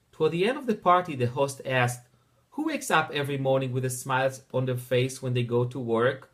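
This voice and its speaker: A man speaks very fast with an Israeli accent. His pitch is medium, and his intonation stays fairly even. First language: Hebrew. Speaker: teacher. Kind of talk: personal introduction narration.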